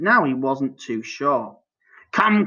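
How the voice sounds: In a natural reading voice with lively intonation, the speaker is heard against a quiet background.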